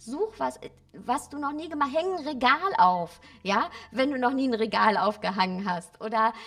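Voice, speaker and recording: There is noticeable background noise as a woman speaks at a moderate pace in a fairly high voice. Her pitch swings very widely. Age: 40s. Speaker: spiritual coach and author. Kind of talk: interview.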